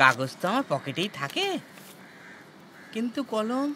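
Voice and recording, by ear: In a put-on character voice, a man speaks at a fairly slow pace with a high pitch, big pitch swings and a bright, sharp tone.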